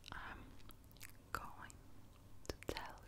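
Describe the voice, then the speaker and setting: A woman is whispering. She is soft-spoken. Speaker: ASMR creator. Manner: slow, very soft close-mic whisper. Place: home room. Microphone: studio mic.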